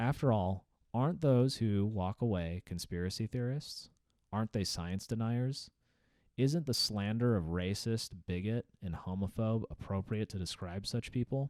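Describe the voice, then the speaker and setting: A man speaks in an ordinary speaking voice at a fairly low pitch and moderate pace with ordinary pitch variation, in a dry, close sound with no echo on a very clean recording with a silent background. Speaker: aerospace engineer and video game commentator. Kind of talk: reading aloud a written essay. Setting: home recording while playing a video game.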